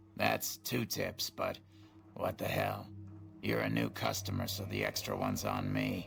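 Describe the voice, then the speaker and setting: Using a put-on character voice, a man speaks very deep and low, with a raspy sound. His pace is fairly slow. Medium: video game. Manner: chatty, sly, salesman-like.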